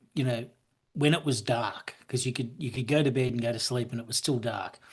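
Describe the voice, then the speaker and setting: With an Australian accent, a man speaks at a very fast pace in a medium pitch. His voice is somewhat breathy, and his intonation stays fairly even. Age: 60s. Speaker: businessman and author. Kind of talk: casual chat. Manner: halting, many repeated words.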